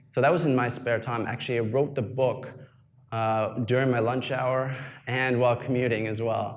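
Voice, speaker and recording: An ordinary speaking voice: a man with a Canadian accent, medium pitch, moderate pace and fairly even intonation. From Canada. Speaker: online business coach and YouTuber. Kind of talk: live presentation. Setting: event talk with audience. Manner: casual with many fillers.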